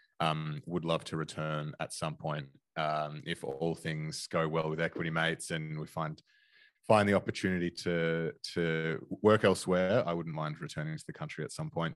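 A man with an Australian accent, very deep, low pitch, fairly even intonation, moderate pace and a quiet background. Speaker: investing podcaster. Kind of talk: casual chat. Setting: video call.

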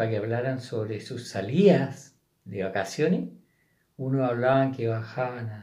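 A man's somewhat breathy voice at a medium pitch and a fairly slow pace, with audible room echo. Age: 70s. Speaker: host's father, guest. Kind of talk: casual chat.

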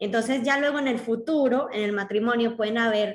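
A woman has an ordinary speaking voice, pitched fairly high, with ordinary pitch variation. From Colombia. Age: 20s. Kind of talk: interview conversation.

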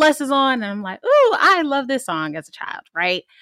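Bright and sharp in tone, the voice moves at a fairly quick pace in a dry, close sound with no echo. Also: woman. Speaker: podcast co-host. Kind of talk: casual interview.

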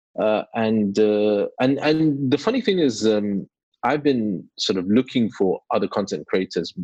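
A man with a British accent speaks at a moderate pace in a dry, close sound with no echo. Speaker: YouTuber. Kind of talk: casual interview.

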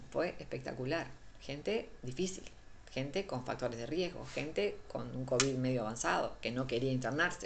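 Audible room echo surrounds the speaker. A woman talks at a moderate pace. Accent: Uruguayan. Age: 50s. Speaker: physician. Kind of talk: interview conversation. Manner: halting.

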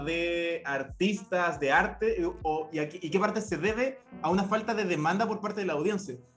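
Over music in the background, a man with a high pitch and a Chilean accent talks at a moderate pace with lively intonation. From Chile, Copiapó. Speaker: podcast host. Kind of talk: casual discussion.

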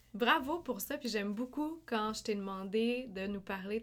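An unremarkable speaking voice from a woman, medium in pitch, at a moderate pace. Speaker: podcast host. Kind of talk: casual interview.

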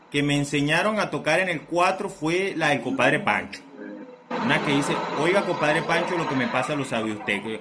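A man with a fairly high voice is heard amid audible room echo and noticeable background noise. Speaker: podcast co-host, DJ. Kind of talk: casual chat.

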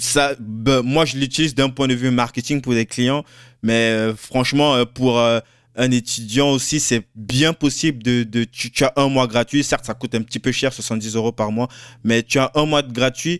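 A man talks at a fairly slow pace in a plain, everyday voice, his intonation fairly even. The sound is dry and close, with no echo. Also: medium pitch for a man. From Cameroon. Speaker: podcast host. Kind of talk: interview.

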